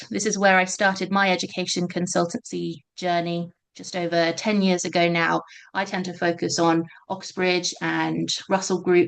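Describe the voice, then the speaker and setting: Monotone, flat delivery in a British accent at a moderate pace against a quiet background. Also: woman, fairly low pitch for a woman. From Britain. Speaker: education consultant, webinar host. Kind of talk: webinar presentation. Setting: online webinar.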